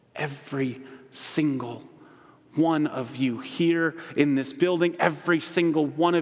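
There is noticeable background noise behind this man with an American accent. He talks at a very slow pace and a high pitch. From Holland, Michigan. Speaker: ministry director and guest preacher. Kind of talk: sermon. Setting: church.

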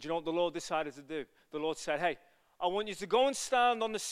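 A man with a Liverpool accent, bright and sharp in tone, lively in intonation, over a very clean recording and a silent background. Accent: Liverpool (Scouse) English. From England, Liverpool. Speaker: evangelist preacher. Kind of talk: sermon. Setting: church. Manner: fast talker; animated.

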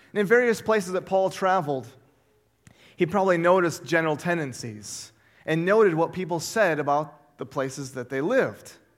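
A man speaks loudly at a high pitch with lively intonation. His pace is fairly quick. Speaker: pastor. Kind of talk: sermon. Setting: church.

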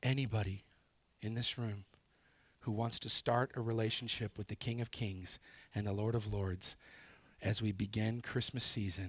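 A man speaks in a fairly low, somewhat breathy voice with flat, monotone intonation. The recording is very clean, with a silent background. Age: 40s. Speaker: pastor. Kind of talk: sermon.

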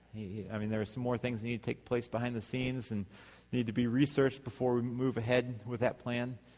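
Using a plain, everyday voice, a man speaks at medium pitch and a fairly quick pace. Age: 30s. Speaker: pastor. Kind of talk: sermon.

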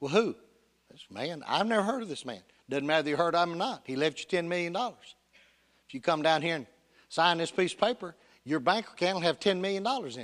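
A man with a Tennessee accent talks very fast in a high voice, his loudness swinging widely, with long pauses coming often. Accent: Southern US (Tennessee). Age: 60s. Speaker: pastor. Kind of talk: sermon. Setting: church.

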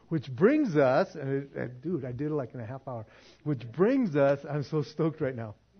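Ordinary pitch variation runs through a voice that is somewhat breathy. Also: man, fairly high pitch for a man, moderate pace. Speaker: pastor. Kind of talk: sermon. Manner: animated.

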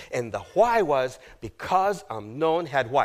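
Animated in tone, a man with a fairly high pitch makes very wide pitch swings. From South America. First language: Spanish. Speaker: guest preacher. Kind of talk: sermon. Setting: church.

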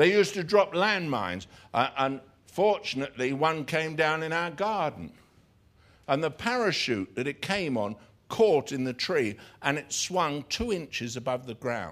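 The very clean recording has a silent background and a man with an English accent, speaking at a moderate pace. His fairly high voice shows vocal fry and very wide pitch swings. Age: 60s. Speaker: pastor. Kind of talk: sermon. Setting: church. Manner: halting.

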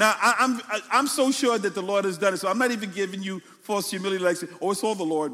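In a Brooklyn accent, a man talks at a very fast pace. Noticeable background noise runs underneath. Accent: Brooklyn New York. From New York City, Brooklyn. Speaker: pastor. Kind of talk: sermon. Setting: church.

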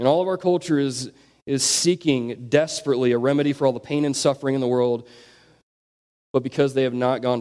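This man has an ordinary speaking voice at a medium pitch, with ordinary pitch variation. He talks at a fairly quick pace. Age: 20s. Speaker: youth pastor. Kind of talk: sermon.

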